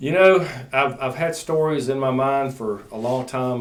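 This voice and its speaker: This man talks at a moderate pace with an Alabama accent and a medium pitch. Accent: Southern US (Alabama). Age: 60s. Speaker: chief deputy sheriff. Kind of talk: casual chat.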